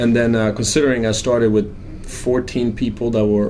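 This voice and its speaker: A man with a Croatian accent talks at a fairly quick pace in a fairly low pitch, his tone dark and mellow. His intonation stays monotone and flat, and the room echo is audible. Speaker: financial planner. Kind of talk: interview.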